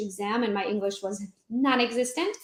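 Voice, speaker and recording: Fairly high-pitched woman's voice in a Hungarian accent, fairly even in intonation, at a fairly quick pace. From Transylvania, Romania (Hungarian minority). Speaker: real estate agent. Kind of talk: casual chat.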